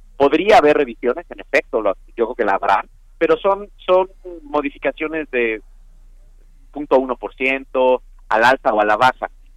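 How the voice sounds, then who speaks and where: In a dry, close sound with no echo, a man with a fairly high pitch talks at a fairly slow pace with lively intonation and long, frequent pauses. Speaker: economic analyst. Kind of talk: interview.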